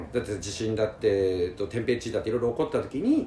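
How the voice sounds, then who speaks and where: A man at a fairly quick pace. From Japan, Karatsu, Saga (Kyushu). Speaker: company head running island campsites. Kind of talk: casual interview chat. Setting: on location at a campsite in Fukuoka.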